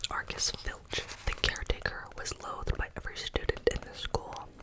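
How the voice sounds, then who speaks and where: A whisper at a moderate pace comes through over noticeable background noise. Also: woman. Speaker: ASMR content creator. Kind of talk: ASMR book reading. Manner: whispered, soft.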